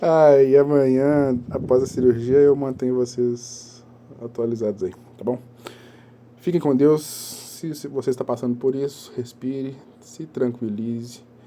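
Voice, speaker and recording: A man speaks at medium pitch with fairly even intonation over noticeable background noise. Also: fairly slow pace. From Minas Gerais, Brazil (Belo Horizonte area). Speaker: vlogger sharing injury experience. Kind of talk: casual first-person vlog. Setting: at home.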